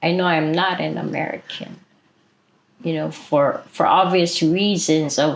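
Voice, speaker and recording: A woman speaks with a Hawaiian accent. Her pace is fairly slow. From Hawaii, Maui. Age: 60s. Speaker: activist. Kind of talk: interview.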